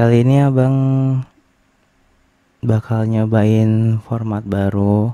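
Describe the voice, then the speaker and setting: Here a man talks at a medium pitch. His tone is dark and mellow. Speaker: ASMR creator. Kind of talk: reading and answering anonymous questions. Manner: casual, soft-spoken.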